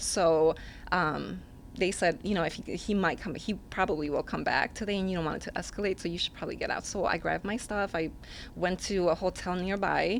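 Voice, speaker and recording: A woman's fairly low voice with vocal fry, a Spanish accent and fairly even intonation, on a very clean recording with a silent background. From Mexico. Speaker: single mother. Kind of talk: interview answer.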